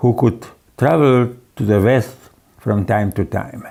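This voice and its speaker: His medium pitch and dark, mellow tone carry this man's speech at a fairly slow pace. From Hungary. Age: 90. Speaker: economist. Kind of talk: prepared speech read aloud. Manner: reading from text.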